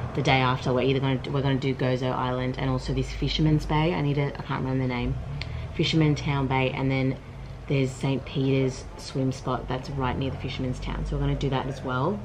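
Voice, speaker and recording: Through noticeable background noise, a woman with a very deep, low pitch speaks at a very fast pace in a monotone, flat intonation. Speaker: travel vlogger. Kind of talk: casual vlog chat. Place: home room. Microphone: phone near.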